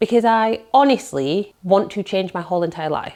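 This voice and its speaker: Very wide pitch swings in a British accent. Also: woman. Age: 40s. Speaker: self-employed content creator. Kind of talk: casual talk to camera. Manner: chatty.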